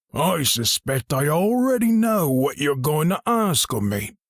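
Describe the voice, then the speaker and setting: In a put-on character voice, a man speaks gravelly and fairly high for his sex, with very wide pitch swings, very even loudness and a fairly slow pace. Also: dry, close sound with no echo. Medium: read story. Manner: terse, guarded.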